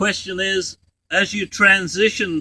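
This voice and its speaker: A man speaks in a raised, projected voice at a high pitch, with a bright, sharp tone. His intonation stays fairly even, and the sound is dry and close with no echo. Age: 70s. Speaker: raw food advocate. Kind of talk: interview answer. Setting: outdoors.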